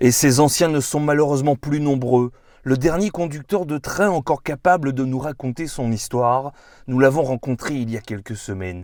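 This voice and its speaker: A man has a plain, everyday voice at a fairly high pitch with ordinary pitch variation and a moderate pace. The recording is very clean, with a silent background. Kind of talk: documentary narration.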